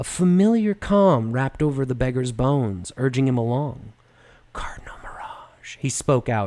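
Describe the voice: Lively intonation over plain reading aloud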